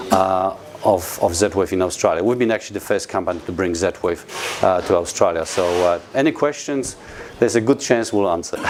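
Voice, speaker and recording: A man with a Polish accent speaks at a fairly quick pace, fairly low in pitch with ordinary pitch variation, over noticeable background noise. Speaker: company representative presenting products. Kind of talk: product presentation to an audience. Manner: halting, many fillers.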